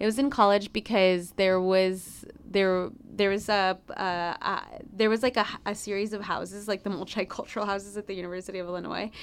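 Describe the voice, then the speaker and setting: A woman with a Spanish accent talks fairly quickly at a medium pitch, her intonation monotone and flat. The recording is very clean, with a silent background. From Chicago, US Midwest. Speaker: business journalist and producer. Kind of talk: interview, personal storytelling.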